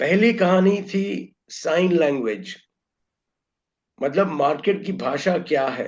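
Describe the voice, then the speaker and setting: The man's voice sits high in pitch, with ordinary pitch variation and long, frequent pauses. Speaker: trading educator. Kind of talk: webinar lecture. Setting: online webinar broadcast.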